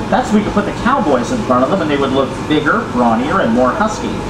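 Over loud background noise, the speech rushes by at a very fast pace. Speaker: tram tour guide. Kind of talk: tour commentary. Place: street.

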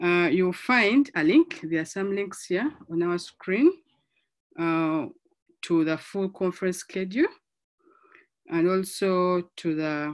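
Against a quiet background, a woman speaks at a very slow pace with long, frequent pauses. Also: ordinary pitch variation. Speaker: conference track facilitator. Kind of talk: session introduction. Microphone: video call.

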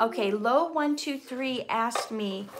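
A woman speaks with an American accent. Noticeable background noise can be heard behind her. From US Midwest, Minnesota. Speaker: actor and poet, channel host. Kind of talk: live-stream Q&A. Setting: live stream video. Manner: warm, chatty. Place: home room. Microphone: phone near.

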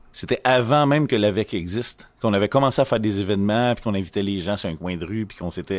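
A man speaks in a Quebec accent at a very fast pace. His pitch is fairly low, with ordinary variation. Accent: Québécois French. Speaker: association vice-president. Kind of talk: casual group discussion. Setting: makeshift studio at an event.

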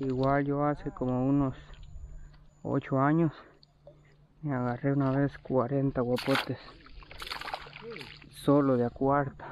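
A man's monotone, flat delivery at a very slow pace, with long, frequent pauses, a dry sound with no echo, and noticeable background noise. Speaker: fisherman vlogger. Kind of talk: casual vlog chat. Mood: relaxed, nostalgic. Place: waterside. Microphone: phone near.

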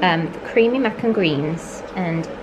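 Loud background noise runs under speech with ordinary pitch variation. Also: woman. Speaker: vlogger. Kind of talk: casual vlog chat. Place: home room. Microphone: phone near.

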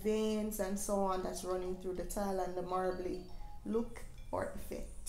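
A woman speaks with fairly even intonation, with light background noise and audible room echo around her. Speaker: home renovation vlogger. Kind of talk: casual vlog chat. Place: shop.

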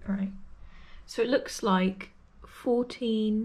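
Speaking very slowly, a woman with an English accent has a fairly high pitch, a dark, mellow tone, a somewhat breathy quality, and ordinary pitch variation. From England. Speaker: YouTuber. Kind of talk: casual chat.

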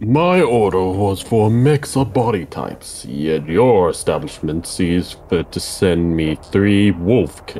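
A man puts on a character voice with a fairly low pitch. He talks at a fairly slow pace with hardly any pauses, over clear background noise. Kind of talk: stiff, lofty speech. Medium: game stream. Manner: formal, imperious, cold.

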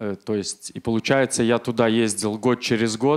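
A man keeps a moderate pace and fairly even intonation against a quiet background. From Belarus, Minsk; Belarus. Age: 40s. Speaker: church member giving testimony; speaker. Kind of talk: testimony. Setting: church service. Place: church. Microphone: handheld.

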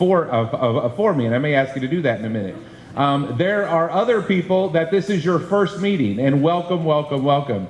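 A man talks at a fairly quick pace with lively intonation, and room echo is audible. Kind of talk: public meeting address. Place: classroom. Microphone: handheld.

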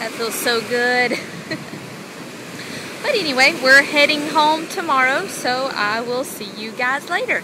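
In a raised, projected voice with ordinary pitch variation, the speaker goes at a fairly slow pace with long, frequent pauses, the sound dry with no echo and noticeable background noise. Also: woman, high pitch for a woman, big swings in loudness. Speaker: vlogger. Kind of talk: casual vlog talk to camera. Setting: outdoors, beach with wind and waves. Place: beach. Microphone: phone near.

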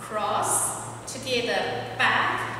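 Noticeable background noise and strong room echo surround a woman as she speaks. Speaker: line dance instructor. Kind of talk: tutorial. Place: hall. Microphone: camera far.

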